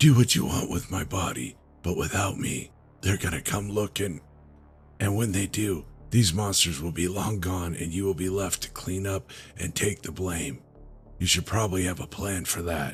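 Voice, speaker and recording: Over clear music in the background, a man does a raspy put-on character voice with a very deep, low pitch at a moderate pace. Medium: read story. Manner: cynical, bitterly joking.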